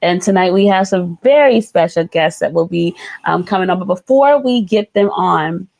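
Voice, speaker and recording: A woman with an American accent and a plain, everyday voice speaks at a medium pitch and moderate pace, with ordinary pitch variation and very even loudness, the sound dry and close with no echo. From New York. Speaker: podcast co-host. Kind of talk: casual live-stream chat.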